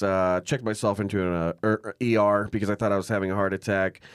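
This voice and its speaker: In a very clean recording with a silent background and a dry, close sound with no echo, a man with an American accent uses a normal speaking voice, fairly low in pitch with fairly even intonation. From Arizona and South Dakota. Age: 30s. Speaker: podcast host and musician. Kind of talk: casual chat; show introduction.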